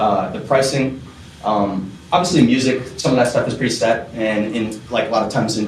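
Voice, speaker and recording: Audible room echo and noticeable background noise around a man talking. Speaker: music business teacher. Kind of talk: lecture. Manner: fast; casual.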